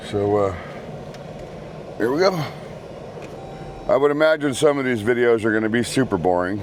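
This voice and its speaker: A man's medium-pitched voice at a fairly quick pace, with lively intonation, long, frequent pauses and noticeable background noise. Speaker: vlogger. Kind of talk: casual vlog monologue. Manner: casual, halting with fillers.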